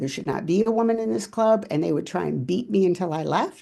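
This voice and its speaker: A woman with an American accent talks at a fairly quick pace in a normal speaking voice, her pitch medium, against a quiet background. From California. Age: 60s. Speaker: former judo world champion. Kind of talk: interview.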